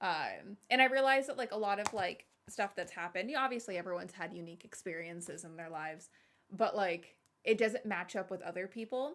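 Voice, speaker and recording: A woman at medium pitch with an animated tone, lively intonation, big swings in loudness and a fairly quick pace. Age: 30s. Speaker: streamer. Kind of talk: casual chat. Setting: live stream.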